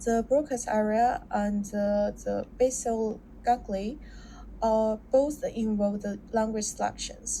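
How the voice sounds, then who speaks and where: A woman speaks with a Chinese accent. Her pace is very slow. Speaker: student. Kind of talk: class presentation. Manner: halting, with self-corrections.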